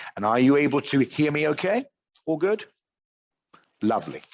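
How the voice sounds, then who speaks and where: Against a quiet background, a man with an English accent speaks with lively intonation. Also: dry, close sound with no echo. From England. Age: 50s. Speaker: teacher trainer. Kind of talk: online teacher training workshop. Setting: video call.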